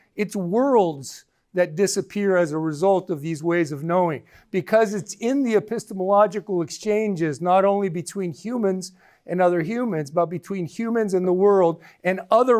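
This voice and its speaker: A man's high-pitched voice at a moderate pace with ordinary pitch variation, on a very clean recording with a silent background. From Guatemala. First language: K'iche' (Mayan language). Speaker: professor. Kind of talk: lecture.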